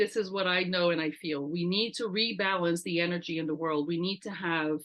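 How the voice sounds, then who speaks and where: With a French accent, a woman speaks at a moderate pace in a medium-pitched voice. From France. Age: 50s. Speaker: entrepreneur and network founder. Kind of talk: interview.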